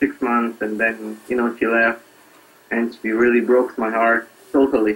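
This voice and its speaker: A speaker with an Israeli accent comes through over noticeable background noise. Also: man. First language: Hebrew. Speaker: singer-songwriter. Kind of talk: interview. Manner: halting.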